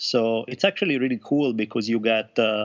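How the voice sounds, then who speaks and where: In an Italian accent, a man talks at medium pitch and a fairly quick pace. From Italy. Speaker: author. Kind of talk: casual chat.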